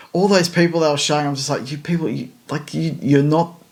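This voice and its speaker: A man talks very fast while noticeable background noise runs underneath. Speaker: F1 podcast co-host. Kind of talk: casual chat. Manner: hesitant, many fillers and repeats.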